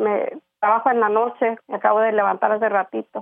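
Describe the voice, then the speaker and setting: A woman's fairly high voice at a moderate pace, in a flat monotone. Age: 60s. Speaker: caller seeking advice on depression. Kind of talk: phone-in call to advice show. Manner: halting, many fillers.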